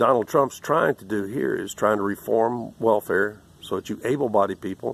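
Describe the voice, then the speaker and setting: On a very clean recording with a silent background, a man with a plain, everyday voice talks at a moderate pace with ordinary pitch variation. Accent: American. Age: 60s. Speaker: political commentator. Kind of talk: angry commentary rant.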